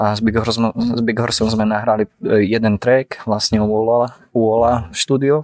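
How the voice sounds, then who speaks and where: A man with a medium pitch speaks at a moderate pace in a flat monotone, with a dry, close sound and no echo. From Slovakia (Dolný Kubín). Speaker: painter and art student. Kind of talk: casual chat. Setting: café in Prague.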